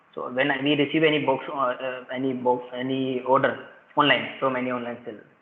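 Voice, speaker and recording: Amid noticeable background noise and audible room echo, a man at medium pitch talks fairly quickly in a flat monotone. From India, Rajasthan. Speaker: school principal. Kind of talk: casual chat. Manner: fast; halting.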